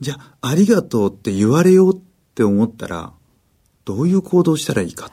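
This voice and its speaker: With a dark, mellow tone and a fairly high pitch, a man talks at a fairly quick pace, making very wide pitch swings and long, frequent pauses. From Japan, Miyagi (Kesennuma). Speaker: magician. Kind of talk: radio interview.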